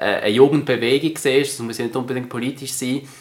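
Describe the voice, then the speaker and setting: At a fairly quick pace, a man speaks in a normal speaking voice at a medium pitch. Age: young. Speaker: politician. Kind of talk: interview.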